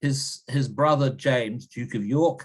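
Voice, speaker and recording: A man in a New Zealand accent at a fairly slow pace. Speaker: history professor. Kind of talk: interview. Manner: halting, many repetitions and fillers.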